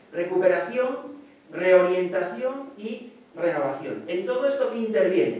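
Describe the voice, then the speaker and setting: Amid strong room echo, a man with a high voice speaks at a fairly slow pace with lively intonation. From Asturias, Spain. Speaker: economics professor. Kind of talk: academic lecture. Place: hall.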